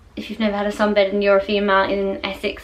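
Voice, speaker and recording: A woman speaks at a fairly high pitch, and the room echo is audible. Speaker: vlogger. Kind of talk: casual chat. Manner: soft-spoken.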